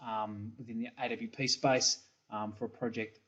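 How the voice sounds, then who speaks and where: The pace of this man's speech is moderate. He has an Australian accent. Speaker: software company engineering principal. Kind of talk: recorded product presentation. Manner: hesitant, many fillers and repeats.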